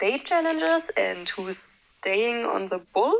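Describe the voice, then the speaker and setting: Her intonation lively, a woman speaks with a non-native accent. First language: not English. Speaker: movie reviewer youtuber. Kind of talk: casual commentary. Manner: hesitant, many fillers.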